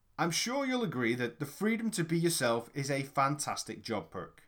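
A man speaks with a British accent at a fairly high pitch. His pitch swings very widely. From UK. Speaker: sales trainer. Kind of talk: audiobook narration.

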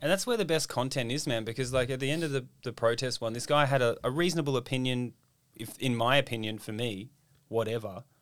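An Australian-accented man with a medium pitch speaks at a very fast pace in an energetic tone. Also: ordinary pitch variation. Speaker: comedian and ex-chef podcast host. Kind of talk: casual chat. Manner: swearing, jokey, energetic.

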